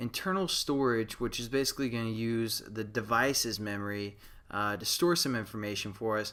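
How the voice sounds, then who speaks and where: On a very clean recording with a silent background, a man speaks at a medium pitch and a moderate pace with ordinary pitch variation. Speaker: programming tutorial maker. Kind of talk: tutorial. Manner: casual, many fillers; mumbling.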